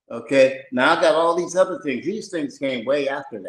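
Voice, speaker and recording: A man's unremarkable speaking voice, fairly quick in pace, with ordinary pitch variation. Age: 60s. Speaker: participant sharing spiritual experiences. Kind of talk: personal testimony.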